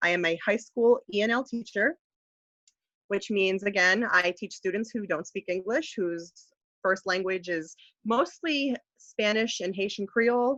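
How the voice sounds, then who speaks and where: A bright, sharp tone comes through with a slight New York accent at a moderate pace. The sound is dry with no echo, over a quiet background. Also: woman. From US, New York. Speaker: high school ESL teacher. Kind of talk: webinar tutorial. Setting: online webinar. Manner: clear, careful speaking. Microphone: video call.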